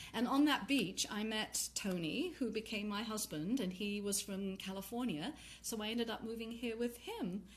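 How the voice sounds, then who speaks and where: A woman with an English accent speaks in a fairly high voice, barely stopping to pause. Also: ordinary pitch variation, moderate pace. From England. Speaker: tantra workshop leader. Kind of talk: casual chat. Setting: live video stream.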